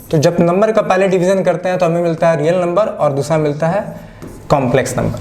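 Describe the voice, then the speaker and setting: With a non-native accent and a high pitch, a man speaks amid noticeable background noise and audible room echo. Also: ordinary pitch variation, moderate pace. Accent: non-native Hindi, self-described. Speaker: maths teacher. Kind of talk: online lecture. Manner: casual, conversational.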